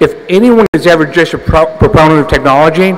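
A man speaks at a fairly quick pace. His pitch is fairly high and his intonation is lively. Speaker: entrepreneur, conference speaker. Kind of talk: conference talk. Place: hall. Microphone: podium.

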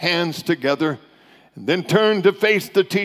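The clip features plain reading aloud. Pitch shifts by a normal amount.

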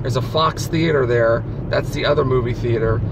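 Loud background noise, a man at a moderate pace, and a dry sound with no echo. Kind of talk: casual vlog chat. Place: car. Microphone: phone near.

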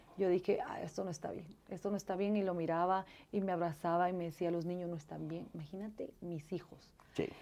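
The woman's tone is dark and mellow, her pitch fairly low. She talks at a fairly quick pace with monotone, flat intonation. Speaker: interview guest. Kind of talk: interview answer. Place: studio.

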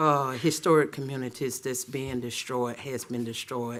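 With an Alabama accent, a man speaks at a very slow pace in a bright, sharp tone at a medium pitch. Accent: Southern US (Alabama). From Auburn, Alabama, US South. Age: 60s. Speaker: city council member. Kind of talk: council meeting remarks. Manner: halting.

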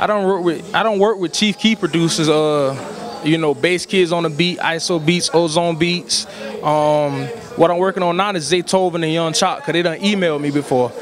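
At a moderate pace, a man speaks with high pitch and fairly even intonation, the sound dry with no echo and noticeable background noise behind it. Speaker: interviewee. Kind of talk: interview answer. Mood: relaxed, smiling. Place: hall. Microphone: handheld.

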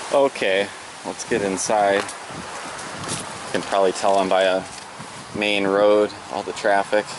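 Against noticeable background noise, a man with a fairly low-pitched voice speaks at a very slow pace, the sound dry with no echo. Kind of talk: casual vlog chat. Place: open country. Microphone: phone near.

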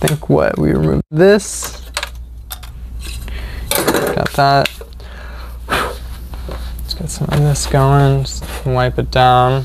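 Very slow speech in a dry space with no echo. Background noise is noticeable. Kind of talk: tutorial commentary while working. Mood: relaxed, slightly amused. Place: workshop.

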